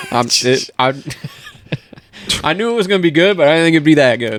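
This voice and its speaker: Noticeable background noise lies under this man's fairly quick speech. His fairly high pitch rises and falls with lively intonation. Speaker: podcast co-host. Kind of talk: casual conversational.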